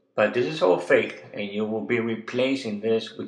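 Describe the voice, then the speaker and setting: Audible room echo surrounds a man speaking fairly slowly at a medium pitch with ordinary pitch variation. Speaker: web designer. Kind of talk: tutorial. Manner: hesitant, with fillers.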